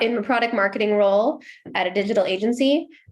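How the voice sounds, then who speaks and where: A woman with an American accent speaks at a very fast pace. Her voice is fairly high. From US, Seattle. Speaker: marketing executive. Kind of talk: podcast interview.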